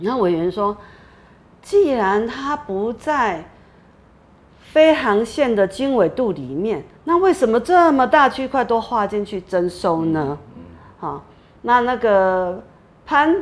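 Speaking very slowly, a woman's voice swings widely in pitch and jumps a lot in loudness. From Taiwan, New Taipei (Xinzhuang); Taiwan. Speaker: activist facing eviction. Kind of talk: interview testimony. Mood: earnest, somewhat aggrieved. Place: studio. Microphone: lapel.

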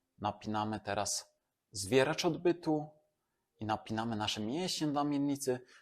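A man with a plain, everyday voice speaks at medium pitch with lively intonation. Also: moderate pace. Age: 30s. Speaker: fitness and regeneration trainer. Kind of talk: exercise tutorial. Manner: calm, instructive.

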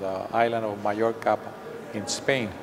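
Fairly slow, monotone delivery with flat intonation over noticeable background noise. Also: man. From Puerto Rico. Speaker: photographer. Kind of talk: artist interview. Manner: halting. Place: hall. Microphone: lapel.

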